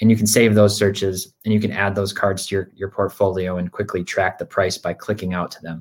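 Monotone, flat intonation with a Michigan accent at a fairly quick pace, on a very clean recording with a silent background. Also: man, fairly low pitch for a man. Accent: Midwestern American (Michigan). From Michigan, Grand Rapids. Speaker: sports card data executive. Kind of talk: casual interview.

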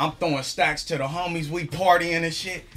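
Noticeable background noise accompanies a man with a fairly high voice who speaks at a moderate pace with fairly even intonation. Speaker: guest. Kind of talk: casual chat.

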